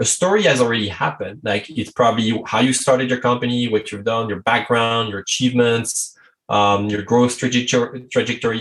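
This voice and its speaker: Speaking with a French accent, a man uses a medium pitch. He moves at a fairly quick pace. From France. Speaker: strategy consultant. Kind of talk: podcast interview.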